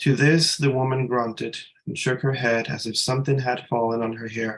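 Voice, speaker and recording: A soft-spoken man speaks at a moderate pace and a medium pitch. His intonation is fairly even. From Dominican American. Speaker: writer and psychotherapist. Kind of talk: reading aloud.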